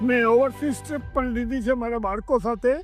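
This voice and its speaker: A man talks at an extremely high pitch over background music. His intonation is monotone and flat. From Kutch, Gujarat, India. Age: 70s. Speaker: knee surgery patient. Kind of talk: patient testimonial.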